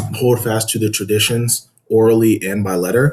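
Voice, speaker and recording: A man speaks with a somewhat breathy voice. His pitch variation is ordinary. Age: 20s. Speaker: podcast guest, religious debater. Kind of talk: casual interview chat. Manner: calm.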